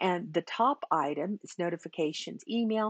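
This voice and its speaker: Lively intonation comes through a dry sound with no echo and a quiet background. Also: woman. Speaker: teacher trainer. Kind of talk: tutorial. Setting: screen recording. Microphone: webcam.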